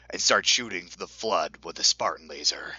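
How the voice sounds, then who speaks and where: A man speaks at a moderate pace. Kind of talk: mock-epic fan-fiction reading. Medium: read story. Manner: wry, faux-serious.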